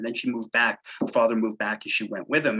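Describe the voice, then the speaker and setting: Talking at a very fast pace, a man with a New York accent has a medium pitch and a bright, sharp tone. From New York City. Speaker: local historian. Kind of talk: lecture.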